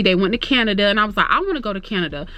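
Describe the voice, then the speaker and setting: A woman's fairly high, bright and sharp voice with an animated tone and lively intonation. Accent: Florida. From Florida. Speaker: YouTuber. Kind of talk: casual chat. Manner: fast.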